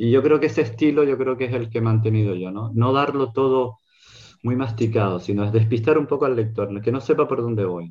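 At a fairly quick pace, a man speaks in an unremarkable speaking voice, medium in pitch with ordinary pitch variation. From Canary Islands, Gran Canaria. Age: 60s. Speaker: writer and illustrator. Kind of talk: book presentation discussion. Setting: video call.

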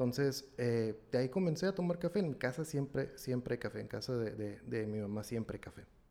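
A man talks fairly quickly, with hardly any pauses. His medium-pitched voice has a dark, mellow tone and lively intonation. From Mexico, Ensenada, Baja California. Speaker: coffee and wine enthusiast, systems engineer. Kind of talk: casual interview.

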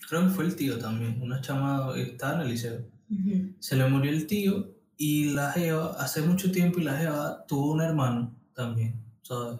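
This man has an unremarkable speaking voice, fairly high in pitch with ordinary variation, at a moderate pace. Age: 30s. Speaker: podcast co-host, graphic designer. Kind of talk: casual chat. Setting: studio.

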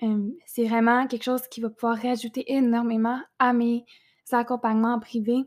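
In a dry, close sound with no echo, a woman speaks at a high pitch with monotone, flat intonation. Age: 20s. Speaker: podcast host and entrepreneur. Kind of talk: casual monologue.

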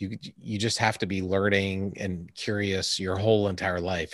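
A man with a very deep, low pitch speaks in a monotone, flat voice on a very clean recording with a silent background. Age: 50s. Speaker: astronaut and retired air force colonel. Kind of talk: casual interview.

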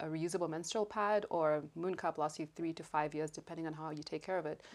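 With an American accent, a woman talks at a very deep, low pitch and in a monotone, flat intonation. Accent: American-tinged English that shifts. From raised abroad, Cuba and US. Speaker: stand-up comedian and activist. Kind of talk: casual interview chat.

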